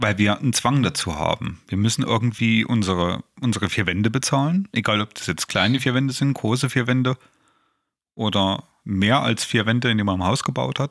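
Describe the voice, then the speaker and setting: A plain, everyday voice from a man at medium pitch, ordinary pitch variation and a fairly quick pace, on a very clean recording with a silent background. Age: 40s. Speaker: podcast co-host, self-help group co-founder. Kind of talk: casual chat.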